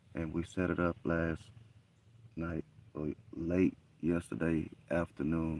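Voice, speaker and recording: A man's very deep, low voice in a monotone, flat delivery at a fairly slow pace, with long, frequent pauses. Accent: Southern US. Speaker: hunting livestreamer. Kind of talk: live stream commentary. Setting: outdoors in a deer blind in the woods.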